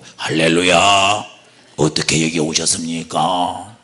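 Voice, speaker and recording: In a put-on character voice, a man sounds gravelly, raspy and husky at a very deep, low pitch. He goes at a fairly slow pace with monotone, flat intonation. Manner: greeting with a pious, gentle tone.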